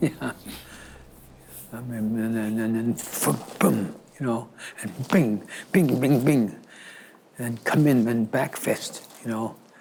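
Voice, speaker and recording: A man talks at a very slow pace with long, frequent pauses, his medium pitch showing ordinary variation over noticeable background noise. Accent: American. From United States. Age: old. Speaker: martial arts teacher. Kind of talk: interview answer.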